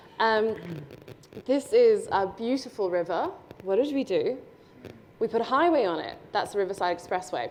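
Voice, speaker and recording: With an Australian accent, a woman talks at a fairly high pitch and lively intonation. Her pauses are long and frequent. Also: moderate pace. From Brisbane, Australia. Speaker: urban designer speaker. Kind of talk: presentation with slides.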